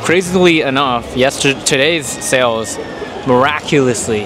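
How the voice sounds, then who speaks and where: Against noticeable background noise, a man with an American accent speaks at a medium pitch with ordinary pitch variation. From US West, Sacramento area. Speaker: artist vlogger. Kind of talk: casual vlog. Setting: convention hall. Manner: fast.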